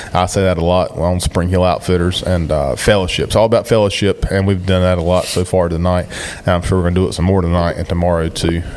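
Over noticeable background noise, a man with an Eastern North Carolina accent and a very deep, low voice rattles along very fast in a flat monotone with hardly any pauses. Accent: Eastern North Carolina Southern. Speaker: podcast host. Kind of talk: casual podcast chat. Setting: hunt camp, recorded on location.

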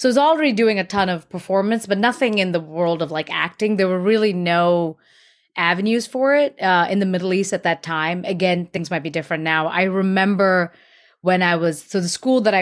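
On a very clean recording with a silent background, a woman with an American accent and an unremarkable speaking voice talks at a fairly quick pace, at medium pitch with ordinary pitch variation. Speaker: actress. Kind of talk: casual interview chat.

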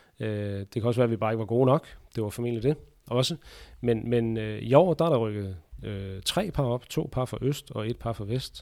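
A man speaks at a moderate pace in a medium pitch, with a dark, mellow tone and ordinary pitch variation. The recording is very clean, with a silent background. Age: 30s. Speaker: handball referee. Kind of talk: interview. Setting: basement under sports hall.

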